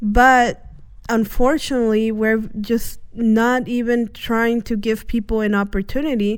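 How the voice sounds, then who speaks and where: Recorded very cleanly against a silent background, a woman with an American accent speaks in a fairly high, flat monotone. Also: fairly slow pace. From US, Indiana (born Guatemala, came at age one). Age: young. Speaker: community worker. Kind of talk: interview. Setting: studio. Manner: halting, many fillers.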